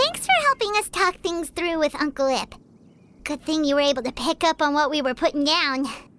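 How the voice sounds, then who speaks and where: A put-on character voice comes through squeaky and high pitched. It moves at a fairly quick pace. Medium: video game. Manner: lively, chatty.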